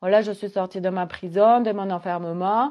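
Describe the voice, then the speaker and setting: A woman with a southwestern French accent talks at a moderate pace and a medium pitch. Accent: Gers. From southwest France, Gers. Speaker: holistic coach. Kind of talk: casual monologue vlog. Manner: hesitant, many fillers; animated.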